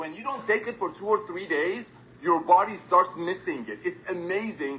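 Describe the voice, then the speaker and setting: A man talks in a raised, projected voice with ordinary pitch variation. Noticeable background noise is present. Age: 60s. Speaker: company co-founder. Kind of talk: business presentation webinar. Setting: video call.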